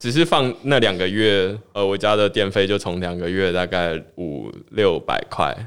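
The recording is very clean with a silent background. A man with a Taiwanese accent speaks fairly low, with ordinary pitch variation and hardly any pauses. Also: fairly slow pace. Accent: Taiwanese Mandarin. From Taiwan, Tainan. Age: 20s. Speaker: blockchain newsletter founder. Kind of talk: casual interview chat.

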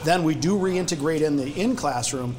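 A man's voice with ordinary pitch variation, noticeable background noise and audible room echo. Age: 50s. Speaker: law enforcement training company executive. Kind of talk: casual chat.

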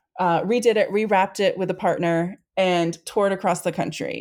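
In an American accent, a woman with a normal speaking voice talks at medium pitch with fairly even intonation. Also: hardly any pauses. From Maine, US Northeast. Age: 40s. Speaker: foundation staff member. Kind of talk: casual chat.

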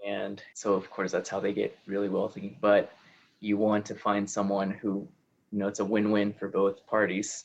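A man with a Spanish accent speaks at a moderate pace in a fairly low, monotone and flat voice. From Peru. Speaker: podcast host. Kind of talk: interview conversation.

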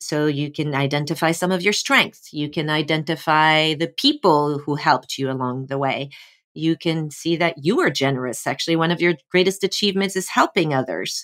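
A woman with a French accent speaks at a moderate pace, with hardly any pauses and ordinary pitch variation. Her pitch is very deep and low, and the recording is very clean with a silent background. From France. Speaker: actor. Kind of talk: casual chat.

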